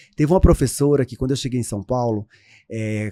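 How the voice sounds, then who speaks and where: With a northeastern Brazilian accent, a man speaks at a medium pitch in a dark, mellow tone, and his pitch varies in an ordinary way. The sound is dry and close, with no echo. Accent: Northeastern Brazilian (kept deliberately). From Brazil, Northeast (rural Paraíba, near Remígio). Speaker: image consultant (visagism expert). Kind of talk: interview, life story.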